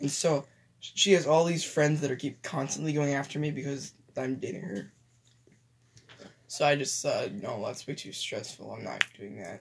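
With long, frequent pauses and big swings in loudness, a man speaks at a moderate pace. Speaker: podcast co-host. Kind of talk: casual chat. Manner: halting.

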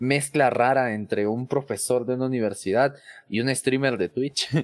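A man's plain, everyday voice at medium pitch, with ordinary pitch variation and a fairly slow pace, dry and close with no echo, on a very clean recording with a silent background. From Mexico City. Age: 20s. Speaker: tech content creator and IT professional. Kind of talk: casual interview.

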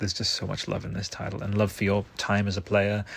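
Somewhat breathy and animated, the voice moves at a fairly quick pace in a very clean recording with a silent background. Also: man. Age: 30s. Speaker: solo podcast host reviewing video games. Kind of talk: solo monologue game review. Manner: animated, frequent fillers and restarts.

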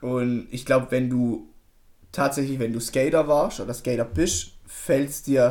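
This is an unremarkable speaking voice at a fairly slow pace, with ordinary pitch variation and big swings in loudness. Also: man, medium pitch for a man. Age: 20s. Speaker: podcast co-host, plastics technologist. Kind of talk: casual chat.

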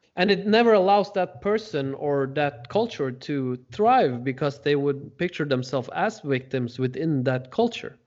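In a Norwegian accent, a man with a fairly high pitch talks at a moderate pace with lively intonation. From Norway. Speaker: podcast host. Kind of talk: interview.

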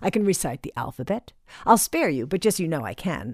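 With an American accent, a woman talks at a very fast pace, her sound dry and close with no echo on a very clean recording with a silent background. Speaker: podcast host. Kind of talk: solo monologue, personal storytelling podcast. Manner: conversational, reflective, humorous.

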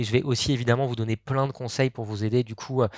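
Very fast speech from a man on a very clean recording against a silent background. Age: 30s. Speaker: startup co-founder and sales trainer. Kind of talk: podcast interview.

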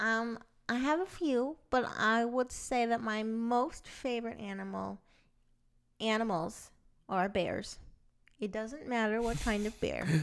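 With long, frequent pauses, a woman speaks at a fairly slow pace in a fairly high pitch with ordinary pitch variation on a very clean recording with a silent background. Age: 30s. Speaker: creative director and podcast co-host. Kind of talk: casual chat.

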